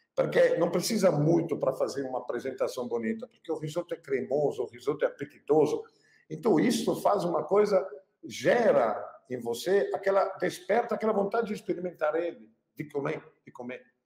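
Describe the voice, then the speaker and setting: A man talks at a moderate pace with a Pernambuco accent. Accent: Pernambuco, Brazil. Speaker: chef, cooking channel host. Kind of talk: casual talk to camera, business tips.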